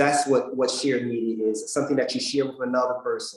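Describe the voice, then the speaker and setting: A man speaks at a fairly quick pace. His pitch is fairly high for a man. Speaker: PR presenter, government affairs staff. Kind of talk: workshop presentation. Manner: halting, many fillers and repeats.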